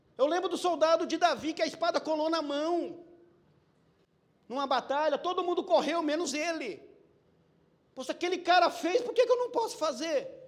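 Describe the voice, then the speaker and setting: Speaking at a moderate pace, a man uses an extremely high pitch and lively intonation. His tone is animated, broken by long, frequent pauses. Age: 50s. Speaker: preacher. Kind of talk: sermon. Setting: church.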